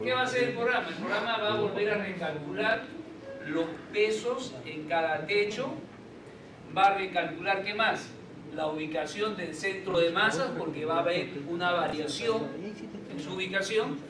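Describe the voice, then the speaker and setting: Fairly slow speech with long, frequent pauses and ordinary pitch variation, amid noticeable background noise and audible room echo. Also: man. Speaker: structural engineering instructor. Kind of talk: online class tutorial.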